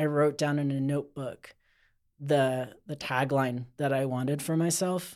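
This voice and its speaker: In a very clean recording with a silent background, a man with a normal speaking voice talks at a moderate pace, fairly high in pitch, with fairly even intonation. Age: 40s. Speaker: outdoor skincare company owner. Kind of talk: casual chat.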